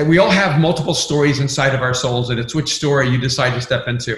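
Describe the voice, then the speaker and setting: Somewhat breathy and fairly high-pitched, a man talks at a moderate pace with fairly even intonation and audible room echo. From immigrant from another country. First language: not English. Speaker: pastor and author. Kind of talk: podcast interview.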